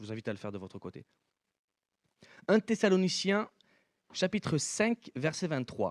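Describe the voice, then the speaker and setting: This man's fairly high voice swings very widely in pitch and greatly in loudness, with long, frequent pauses and a dry, close sound with no echo. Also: moderate pace. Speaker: preacher. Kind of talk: sermon.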